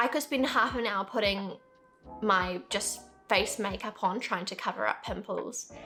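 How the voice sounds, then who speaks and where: The speaker talks at a fairly slow pace with ordinary pitch variation. Music plays in the background. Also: woman, medium pitch for a woman. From New Zealand. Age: 20s. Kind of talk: casual talk to camera.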